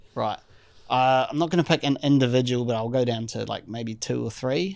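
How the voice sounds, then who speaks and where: Over a silent background in a very clean recording, a man talks at a fairly quick pace, his pitch medium with ordinary variation. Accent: New Zealand. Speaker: drummer. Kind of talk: casual chat.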